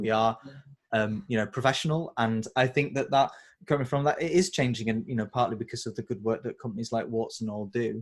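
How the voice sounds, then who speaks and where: In a very clean recording with a silent background, a man speaks at a medium pitch with a Yorkshire accent. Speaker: interviewer. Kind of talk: interview.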